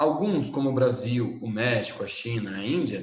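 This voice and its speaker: Audible room echo colors a man's medium-pitched voice. He keeps a moderate pace with ordinary pitch variation. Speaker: teacher. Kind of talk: lecture. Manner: animated.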